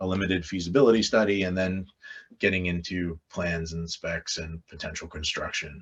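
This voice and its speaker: This man has a very deep, low voice. He talks fairly quickly with fairly even intonation. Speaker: Army Corps of Engineers planner presenting programs. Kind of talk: webinar presentation. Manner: fast.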